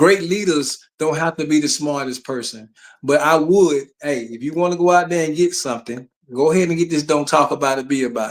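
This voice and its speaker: Talking at a fairly quick pace with an Alabama accent, a man has a fairly high pitch and ordinary pitch variation. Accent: Southern US (Alabama). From Alabama, US South. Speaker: retired army sergeant and author. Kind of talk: casual chat.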